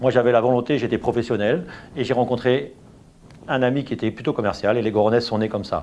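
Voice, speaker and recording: A man's voice at medium pitch. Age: 60s. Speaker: business owner. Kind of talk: testimony. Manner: hesitant, with fillers and repetitions.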